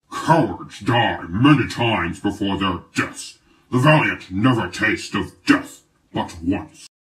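Speaking at a fairly slow pace, a man uses a medium pitch. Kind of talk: grand stage declamation.

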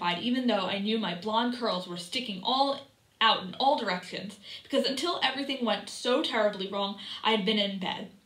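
The pitch shifts in an ordinary way across an unforced reading voice.

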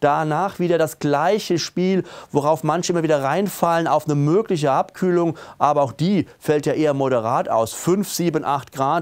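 At a moderate pace, a man talks with ordinary pitch variation and very even loudness over a quiet background. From Germany. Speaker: weather presenter. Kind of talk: weather report with a forecast walk-through of maps and charts. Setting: studio video presentation with weather maps. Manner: businesslike and matter-of-fact, calmly reading out temperatures and regional details; emphatic and opinionated, pushing the mild-winter message with a friendly, direct address. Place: studio. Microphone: lapel.

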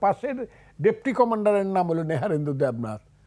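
A man's high voice with very wide pitch swings, on a very clean recording with a silent background. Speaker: war veteran and politician. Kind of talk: talk show interview.

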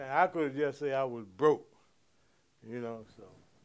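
A man is talking. His pace is moderate. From Baltimore. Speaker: former gangster; interviewee. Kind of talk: interview storytelling; interview answer. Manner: halting. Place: home room.

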